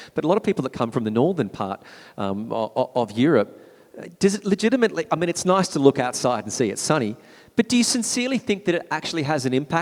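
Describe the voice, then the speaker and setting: Someone with an Australian accent talks at a very fast pace, the pitch swinging very widely. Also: man. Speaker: panel moderator. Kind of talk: panel discussion.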